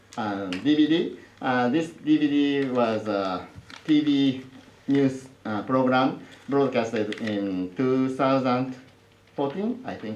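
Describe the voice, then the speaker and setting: Speaking at a very slow pace with long, frequent pauses, a man with a strong Japanese accent uses ordinary pitch variation amid noticeable background noise and audible room echo. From Japan, Osaka. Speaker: professor. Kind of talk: lecture. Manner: halting, many fillers.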